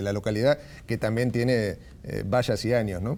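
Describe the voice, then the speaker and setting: A man with an Argentine accent, a dark, mellow tone and fairly even intonation. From San Nicolás, Buenos Aires province, Argentina. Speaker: radio announcer, journalist and writer. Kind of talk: interview answer.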